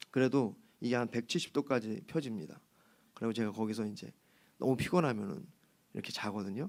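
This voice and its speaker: Vocal fry at a fairly quick pace, with ordinary pitch variation. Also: man. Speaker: pastor. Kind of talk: sermon. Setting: church service. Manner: casual, chatty.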